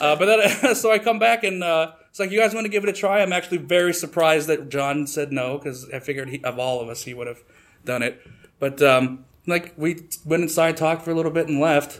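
A man talks at a fairly quick pace with lively intonation. His pitch is fairly high. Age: 30s. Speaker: storyteller. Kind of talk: live storytelling. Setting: stage with audience. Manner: halting.

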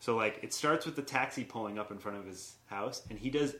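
With a plain, everyday voice, a man speaks fairly quickly at medium pitch, his pitch varying in an ordinary way. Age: 20s. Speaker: improv comedian and performer. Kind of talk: casual chat.

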